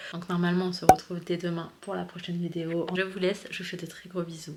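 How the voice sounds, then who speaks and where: A woman's fairly low, monotone, flat delivery over noticeable background noise. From Paris, France. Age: 20s. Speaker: family vlogger, stay-at-home mom. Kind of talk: casual vlog talk to camera. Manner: soft-spoken.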